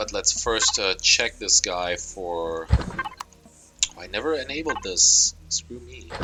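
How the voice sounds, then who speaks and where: Over noticeable background noise, a man talks at a very slow pace with big swings in loudness. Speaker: gaming youtuber. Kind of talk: let's play commentary. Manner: casual with fillers.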